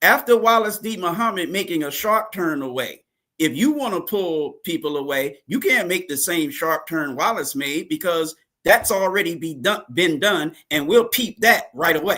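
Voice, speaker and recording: A man speaks with lively intonation at a high pitch and a bright, sharp tone. The recording is very clean, with a silent background. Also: moderate pace. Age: 60s. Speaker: religious teacher. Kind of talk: interview. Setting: live broadcast.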